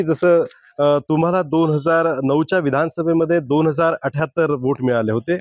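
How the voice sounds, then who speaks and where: In a dry, close sound with no echo, a man with a plain, everyday voice speaks at a fairly high pitch, with ordinary pitch variation and very even loudness. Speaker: news editor and interviewer. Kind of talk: interview questions.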